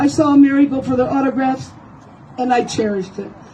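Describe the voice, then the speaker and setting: Noticeable background noise sits behind a woman whose voice is high and whose pace is moderate. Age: 70s. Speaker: paralegal private investigator. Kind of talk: reading own story aloud. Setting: outdoors.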